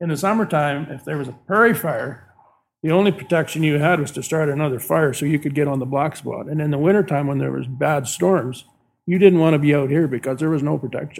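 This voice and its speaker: Words pour out of a man very rapidly. The pitch rises and falls in a normal way. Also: fairly high pitch for a man. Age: 70s. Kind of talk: casual interview chat.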